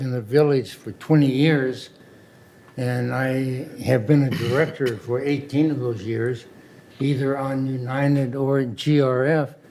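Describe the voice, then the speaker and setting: Recorded with audible room echo, a man at medium pitch speaks at a very slow pace with fairly even intonation. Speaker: community board director, candidate. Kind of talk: candidate statement at meeting. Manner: halting.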